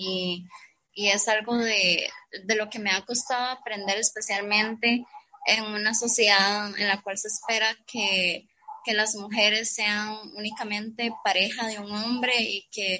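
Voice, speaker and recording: A woman speaks at a fairly slow pace. Her voice sits at a medium pitch. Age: 20s. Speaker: university student and poet. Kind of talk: casual chat.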